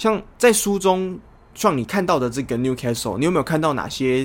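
A man with a Taiwanese accent, fairly quick in pace, with very wide pitch swings. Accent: Taiwanese Mandarin. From Taiwan, Kaohsiung. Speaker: football podcast co-host. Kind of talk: casual chat.

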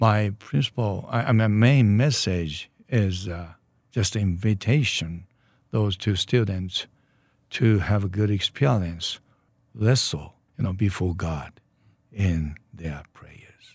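A man speaks very slowly with a Japanese accent, ordinary pitch variation and big swings in loudness. The recording is very clean, with a silent background. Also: fairly low pitch for a man. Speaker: church leader. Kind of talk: interview. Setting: studio. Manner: halting.

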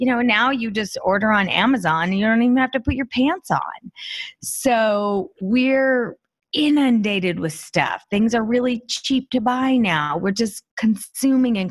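Her voice is somewhat breathy and fairly high for a woman. The loudness stays very even, and the pitch varies in an ordinary way. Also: fairly slow pace, quiet background. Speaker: author and professional organizer. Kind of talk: interview conversation.

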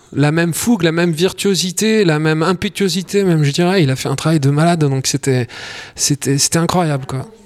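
Noticeable background noise under a fairly quick man's voice, fairly high in pitch, with ordinary pitch variation. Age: 40s. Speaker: podcast host and singer. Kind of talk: casual interview. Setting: on location in Tunis.

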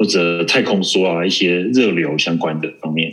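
A man is speaking. His pace is fairly slow. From Taiwan. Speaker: network engineer. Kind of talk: interview. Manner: halting.

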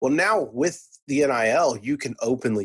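Against a quiet background, a man talks with a Texan accent. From Texas, Irving (Dallas area). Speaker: college sports reporter. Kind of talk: casual interview.

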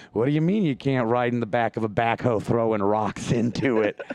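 A man with an American accent at a fairly quick pace, with noticeable background noise. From northern Indiana, US Midwest. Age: 30s. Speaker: comedian. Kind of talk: casual chat. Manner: loud; mumbling.

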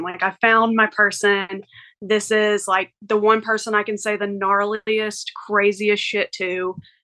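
Speaking very slowly in a Southern US accent, a woman uses a fairly high, bright, sharp voice with monotone, flat intonation. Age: 30s. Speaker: hairstylist. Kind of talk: advice call.

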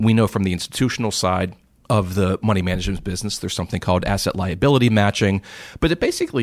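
Speaking in an American accent, a man shows ordinary pitch variation. The recording is very clean, with a silent background. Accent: Pittsburgh accent mostly suppressed. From US, Pittsburgh. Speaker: investment educator and author. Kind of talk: interview conversation. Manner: halting with repeated starts.

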